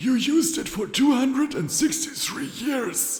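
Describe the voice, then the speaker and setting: A raspy, put-on character voice moves at a moderate pace. There is a slight echo. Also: man, extremely high pitch for a man. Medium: read story.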